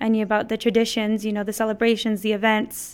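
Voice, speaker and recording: This voice belongs to a woman. She speaks with an American accent. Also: very clean recording, silent background. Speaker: mariachi director and performer. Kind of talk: interview.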